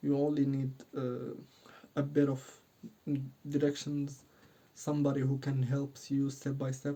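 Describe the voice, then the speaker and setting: With a non-native accent and a dark, mellow tone, a man speaks at a fairly slow pace in a monotone, flat intonation, leaving long, frequent pauses. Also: fairly high pitch for a man. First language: not English. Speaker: dating coach YouTuber. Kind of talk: casual talk to camera. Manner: halting, many fillers.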